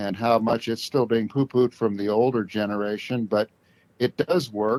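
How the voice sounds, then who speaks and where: Heard in a dry, close recording with no echo, a man with an American accent talks at a moderate pace in a medium pitch with fairly even intonation. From US West Coast, Southern Oregon. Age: 60s. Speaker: stroke survivor. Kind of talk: interview. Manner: halting.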